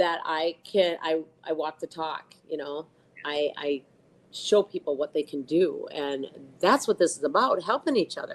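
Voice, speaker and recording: The speaker is a woman with a plain, everyday voice. She keeps a moderate pace, and her pitch varies in an ordinary way. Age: 60s. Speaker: powerlifter. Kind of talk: interview.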